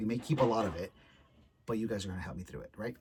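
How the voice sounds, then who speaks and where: A man speaks in a fairly low, somewhat breathy voice with ordinary pitch variation. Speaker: vlogger. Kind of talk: casual vlog talk. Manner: animated. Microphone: poor audio.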